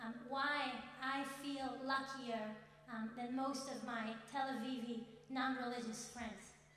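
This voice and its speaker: In a room with audible echo, a woman speaks in a high-pitched voice with monotone, flat intonation. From Israel. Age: 20s. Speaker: student speaker. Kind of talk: speech at event. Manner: halting.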